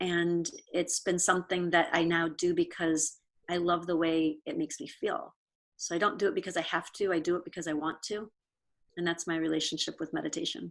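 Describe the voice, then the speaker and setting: An unremarkable speaking voice from a woman with an American accent, fairly low in pitch, fairly even in intonation, at a fairly quick pace. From Pennsylvania, US. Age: 60s. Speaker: yoga studio owner. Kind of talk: interview conversation.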